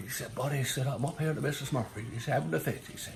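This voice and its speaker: At a fairly quick pace, a man speaks at medium pitch with ordinary pitch variation amid noticeable background noise. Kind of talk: storytelling, joke telling. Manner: casual, hesitant.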